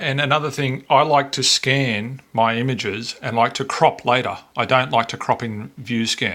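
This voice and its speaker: With an Australian accent, a man speaks at a medium pitch in a bright, sharp tone. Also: ordinary pitch variation, hardly any pauses. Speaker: photo scanning hobbyist. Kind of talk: software tutorial narration. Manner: casual, unhurried.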